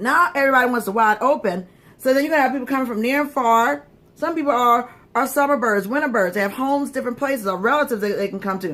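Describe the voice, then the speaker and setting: In a Southern US accent, a woman talks at a very fast pace, her high-pitched voice animated, bright and sharp, with lively intonation. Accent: southern twang. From Florida. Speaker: magazine publisher and livestream host. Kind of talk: livestream monologue. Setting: livestream.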